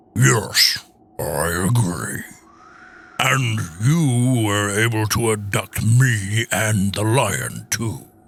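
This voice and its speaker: A man puts on a character voice with a fairly low pitch. He speaks at a very slow pace. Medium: audio drama. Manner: gruff, indignant.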